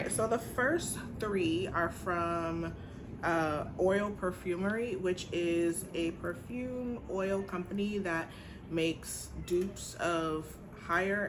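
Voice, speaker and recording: A woman at medium pitch speaks very slowly with fairly even intonation, and audible room echo surrounds her. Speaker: teacher and beauty vlogger. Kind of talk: casual vlog haul review. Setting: home apartment.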